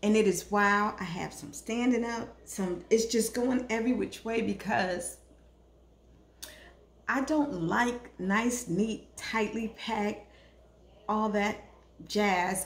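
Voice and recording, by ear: Slow and fairly even in intonation, a woman speaks at a medium pitch.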